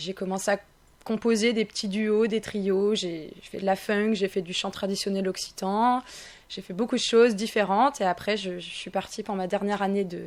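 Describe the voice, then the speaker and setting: A woman with a normal speaking voice talks at a moderate pace and medium pitch. Her intonation is fairly even, though her loudness swings widely. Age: 20s. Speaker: singer. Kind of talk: radio interview. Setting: radio studio.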